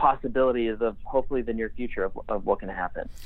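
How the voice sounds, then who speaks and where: An unremarkable speaking voice from a man, fairly quick in pace, with fairly even intonation. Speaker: army veteran working in blockchain. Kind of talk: interview.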